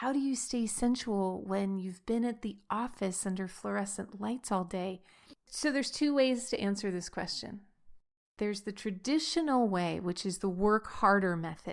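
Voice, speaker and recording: A woman at a medium pitch talks at a moderate pace with ordinary pitch variation, in a very clean recording with a silent background. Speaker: podcast host, sensuality coach. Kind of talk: solo podcast talk. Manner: sped up, higher pitch in one stretch.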